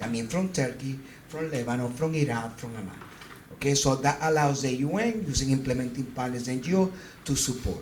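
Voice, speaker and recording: At a fairly quick pace, a man with a medium-pitched voice speaks with ordinary pitch variation, with noticeable background noise and audible room echo. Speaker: physician and humanitarian coordinator. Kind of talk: presentation talk with slides. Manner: halting.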